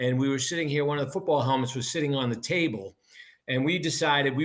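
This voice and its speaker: Over a quiet background, a man speaks with a Boston accent. His pitch is medium, with ordinary variation. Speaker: business co-founder and football coach. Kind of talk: interview.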